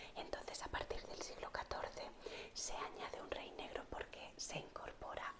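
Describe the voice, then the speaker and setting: A woman is whispering at a fairly slow pace. Noticeable background noise runs underneath. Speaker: art history teacher, ASMR creator. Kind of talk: whispered ASMR history lesson. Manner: whispered, soft.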